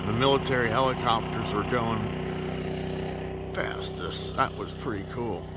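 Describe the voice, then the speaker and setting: A man's voice sounds dry with no echo over loud background noise. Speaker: van-life traveller vlogger. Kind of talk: casual vlog chat. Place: open country. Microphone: phone near.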